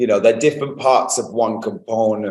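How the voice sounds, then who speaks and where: A man is speaking. He has a British accent. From Manchester, England. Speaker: company founder and CEO. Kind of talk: interview. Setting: office.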